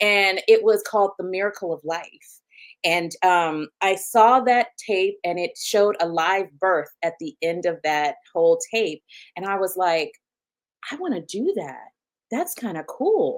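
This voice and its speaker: Speaking with a Southern US accent, a woman uses an animated tone at a fairly slow pace. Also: medium pitch for a woman, ordinary pitch variation. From US South (Huntsville, Alabama). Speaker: physician, OB-GYN. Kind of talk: interview.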